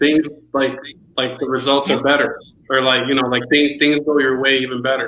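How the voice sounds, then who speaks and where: Amid audible room echo, a man with a Spanish accent speaks at a moderate pace and medium pitch in a monotone, flat intonation. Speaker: friend and amateur beat maker. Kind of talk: casual chat. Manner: halting, repeats words.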